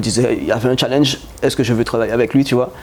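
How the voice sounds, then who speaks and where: A man talks at a very fast pace and medium pitch. Noticeable background noise is present. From Guadeloupe (Capesterre). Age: 30s. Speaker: chemist and company founder. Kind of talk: interview. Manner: halting.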